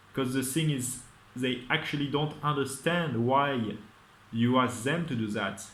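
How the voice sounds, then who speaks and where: A man speaks at a medium pitch with a non-native accent. Audible echo from the room surrounds his voice. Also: ordinary pitch variation. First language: not English. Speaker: vlogger. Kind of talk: casual monologue. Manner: halting.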